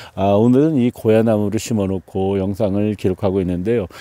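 The man's voice has a dark, mellow tone and a fairly low pitch. He speaks at a moderate pace against a quiet background. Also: dry sound with no echo. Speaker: farmer. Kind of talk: vlog narration. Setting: outdoors. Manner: hesitant, with frequent fillers. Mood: calm, upbeat. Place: farm. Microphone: phone near.

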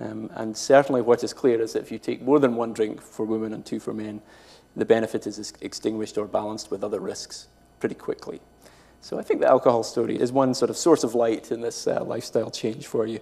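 A man talks at a fairly quick pace with a Scottish accent, his pitch fairly low. His tone is dark and mellow, with vocal fry and fairly even intonation.

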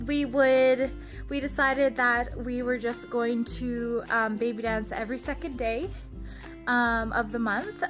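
Clear music plays in the background as a woman speaks at a fairly slow pace. Her high voice carries fairly even intonation. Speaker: vlogger. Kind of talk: casual vlog chat. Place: home room. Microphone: phone near.

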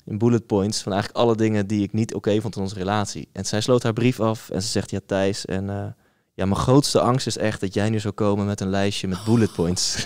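A man speaks at a fairly quick pace in an unremarkable speaking voice, fairly low in pitch. His intonation is fairly even against a quiet background. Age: 30s. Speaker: podcast host. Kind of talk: casual chat. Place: studio. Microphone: studio mic.

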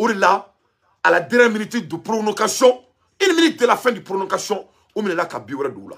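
With a Malian accent, a man speaks at a moderate pace in a high, bright, sharp voice, his animated tone moving through very wide pitch swings. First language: Bambara (speaking French). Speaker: online commentator. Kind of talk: monologue commentary.

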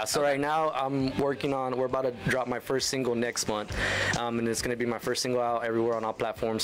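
Over background music, a man talks at a very fast pace with very even loudness. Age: 20s. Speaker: country singer-songwriter, radio guest. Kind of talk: casual, friendly. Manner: very fast talker; energetic, talks a lot without pausing. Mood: relaxed, friendly. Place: studio. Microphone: studio mic.

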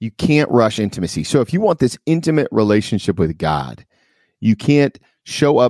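With lively intonation and a moderate pace, a man talks in a dry, close sound with no echo on a very clean recording with a silent background. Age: 40s. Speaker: podcast host. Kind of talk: casual chat.

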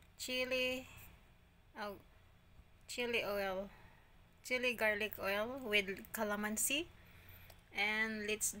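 Long, frequent pauses break up a woman's speech as she talks very slowly. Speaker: food vlogger. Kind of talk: casual mukbang vlog chat. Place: kitchen. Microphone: phone near.

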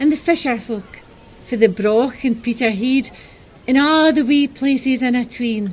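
With a northeast Scottish accent, a woman speaks at a high pitch. Her pitch variation is ordinary and her pace moderate. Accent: Doric Scots. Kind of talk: poetic short film narration.

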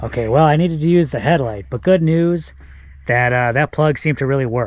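A man is speaking. The sound is dry with no echo, and his pitch varies in an ordinary way. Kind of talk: casual vlog chat. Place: open country. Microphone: phone near.

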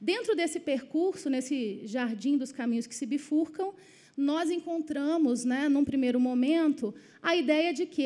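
Speaking at a moderate pace, a woman has a high pitch, a dark, mellow tone and ordinary pitch variation. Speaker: education ministry official; panelist. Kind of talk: panel presentation. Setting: auditorium with live audience. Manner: formal. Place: hall. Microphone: podium.

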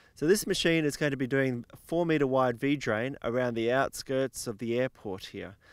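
A man talks with ordinary pitch variation, and the sound is dry with no echo. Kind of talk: product explanation to camera. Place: open country. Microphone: handheld.

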